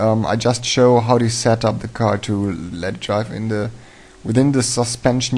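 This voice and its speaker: A man with a German accent speaks at a fairly slow pace. His pitch is fairly low and his intonation fairly even. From Germany. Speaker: 3D animation tutorial maker. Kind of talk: tutorial. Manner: halting, many fillers.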